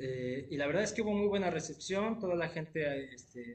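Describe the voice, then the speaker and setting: Lively intonation marks a man's moderate pace, delivered in a normal speaking voice. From Mexico, Querétaro. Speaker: jazz pianist. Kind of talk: interview.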